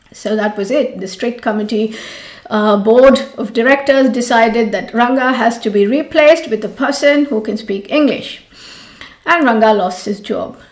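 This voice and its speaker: A woman's fairly high pitch and ordinary pitch variation against noticeable background noise. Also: moderate pace. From India, Mumbai. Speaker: yoga teacher. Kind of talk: storytelling.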